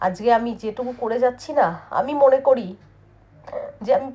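A dark, mellow female voice with typical rise and fall in pitch. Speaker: vlogger. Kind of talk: personal vlog monologue.

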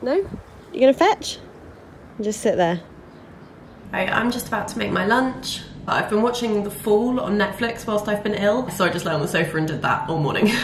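A woman's fairly high-pitched voice with lively intonation and long, frequent pauses, over noticeable background noise. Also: moderate pace. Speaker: vlogger. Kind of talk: casual vlog. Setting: at home and garden.

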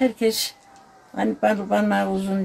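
Over light background noise, a woman speaks with very wide pitch swings. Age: 80s+. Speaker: folk poet. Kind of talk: interview. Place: garden. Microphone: phone near.

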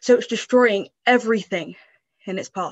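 Over a quiet background, a woman speaks at a fairly quick pace with ordinary pitch variation. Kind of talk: dramatic spoken-word performance. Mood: dramatic, intense narration. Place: home room. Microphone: video call.

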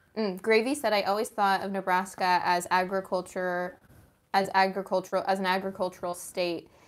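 At a fairly quick pace, a woman of medium pitch speaks in a monotone, flat intonation. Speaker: co-host reading chat. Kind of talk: casual chat. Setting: home art studio, livestream. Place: studio.

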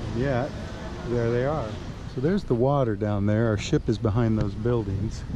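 A man at a moderate pace amid noticeable background noise. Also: ordinary pitch variation. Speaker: tourist vlogger. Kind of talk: casual vlog chat. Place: street.

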